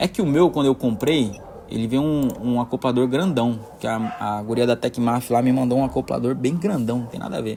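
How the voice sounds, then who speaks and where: Noticeable background noise is present. Against it, a man speaks with a medium pitch. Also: ordinary pitch variation, fairly quick pace. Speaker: maker tutorial creator. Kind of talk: tutorial. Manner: fast, sometimes jumbled words; casual, hesitant with filler words.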